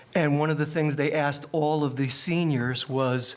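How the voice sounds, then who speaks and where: At a moderate pace, a man with a fairly high pitch speaks with ordinary pitch variation over noticeable background noise. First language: not English. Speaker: retiring school superintendent and educator. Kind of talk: public meeting remarks. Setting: board of education meeting. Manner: halting.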